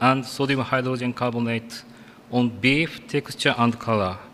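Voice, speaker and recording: Speaking fairly slowly with a Japanese accent, the man has a medium-pitched voice. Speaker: food science researcher. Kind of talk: conference presentation. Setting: conference stage with audience. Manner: halting.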